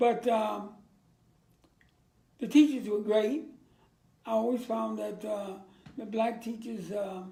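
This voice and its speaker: A man with a dark, mellow, high voice speaks at a very slow pace, with long, frequent pauses and fairly even intonation. Room echo is audible. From Virginia, US South. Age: 80s+. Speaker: war veteran. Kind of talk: interview.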